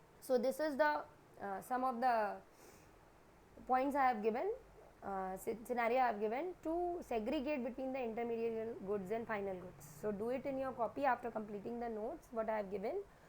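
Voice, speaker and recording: Audible room echo surrounds a woman talking fairly quickly at a fairly high pitch with lively intonation. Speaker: teacher. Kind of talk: lecture.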